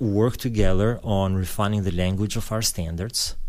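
This man has an Albanian accent, a fairly low pitch, fairly even intonation and a moderate pace. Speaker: pastor. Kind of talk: interview. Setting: studio.

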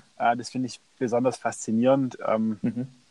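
This is a man speaking at a medium pitch. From Stuttgart, Germany. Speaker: entrepreneur and author. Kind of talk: interview. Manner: hesitant with many fillers.

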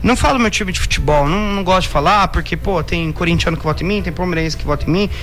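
A man's high-pitched voice, very fast with hardly any pauses and ordinary pitch variation, with audible room echo and background music. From Brazil, Indaiatuba (São Paulo state). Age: 20s. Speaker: radio journalist and DJ. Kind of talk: radio interview.

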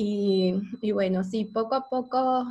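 Her voice somewhat breathy, a woman speaks at a fairly high pitch with monotone, flat intonation. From Ecuador. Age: 30s. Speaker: podcast host. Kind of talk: casual chat.

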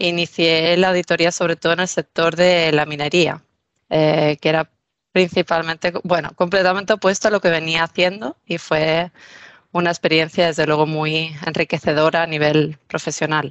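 In a dry, close sound with no echo, a woman with a Spanish accent speaks at a moderate pace and fairly low pitch, with monotone, flat intonation and very even loudness. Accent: Spanish from Spain. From Spain, Mallorca. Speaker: business manager. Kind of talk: interview.

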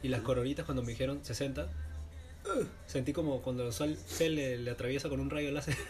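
Over noticeable background noise and audible room echo, a man talks at a moderate pace with hardly any pauses. His medium-pitched voice swings very widely in pitch. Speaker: podcast co-host. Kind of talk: casual chat.

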